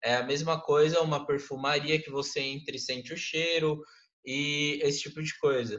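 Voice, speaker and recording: With fairly even intonation, a man of fairly high pitch speaks at a moderate pace. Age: 20s. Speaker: graphic designer and marketer. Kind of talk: interview. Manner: casual, hesitant with fillers.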